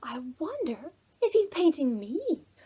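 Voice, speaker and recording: A woman puts on a character voice with an extremely high pitch, very wide pitch swings and a fairly slow pace. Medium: read story.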